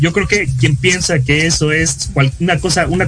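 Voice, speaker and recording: There is noticeable background noise behind a man's voice. He speaks at a fairly high pitch with ordinary pitch variation. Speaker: student podcast co-host. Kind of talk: casual political chat.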